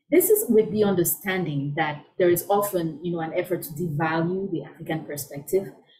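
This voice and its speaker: A woman speaks with a somewhat breathy, fairly low-pitched voice. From Cameroon. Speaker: scholar and storyteller. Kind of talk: conversational interview answer.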